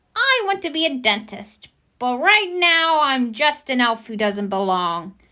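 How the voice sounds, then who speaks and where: A woman puts on a character voice, high in pitch and fairly slow. Her pitch swings very widely. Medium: read story.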